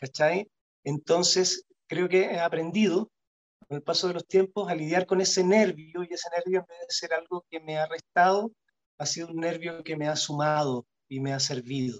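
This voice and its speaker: In a Chilean accent, a man with a high pitch speaks at a moderate pace, with ordinary pitch variation and big swings in loudness. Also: dry, close sound with no echo. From Chile, Punta Arenas. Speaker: actor. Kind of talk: casual interview. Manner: halting, many repetitions and fillers.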